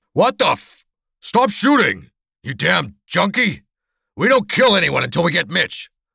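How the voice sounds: A man's put-on character voice, shouting high and fairly slow, with big pitch swings, vocal fry, a slightly husky edge and a bright, sharp tone, on a very clean recording with a silent background.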